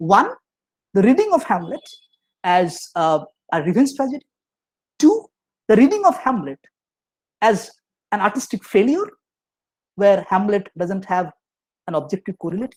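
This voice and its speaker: A man speaks with lively intonation, pausing long and often, in a dry, close sound with no echo. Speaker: professor. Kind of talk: lecture. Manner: fast; halting, many fillers and restarts.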